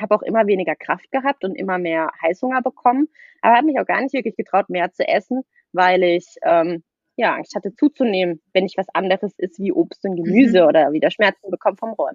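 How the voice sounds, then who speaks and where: A woman at medium pitch with very wide pitch swings and a fairly quick pace. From southwest Germany, near Freiburg. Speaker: nutrition coach. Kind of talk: casual podcast interview.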